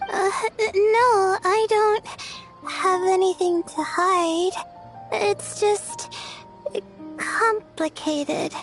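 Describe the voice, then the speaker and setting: A woman puts on a cartoonish character voice at an extremely high pitch. She talks at a very slow pace over clear music in the background. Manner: hesitant, stammering.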